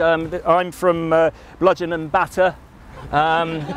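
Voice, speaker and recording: A man's high, monotone voice at a moderate pace, with flat intonation, a dry sound without echo, and light background noise. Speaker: council or company representative. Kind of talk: closing remarks to a community group. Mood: apologetic, polite, hesitant. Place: garden.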